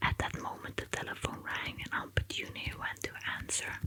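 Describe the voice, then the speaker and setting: There is noticeable background noise in this clip. A woman's whisper moves at a moderate pace. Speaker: ASMR artist. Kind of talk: whispered audiobook reading for sleep. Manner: whispered, soft-spoken.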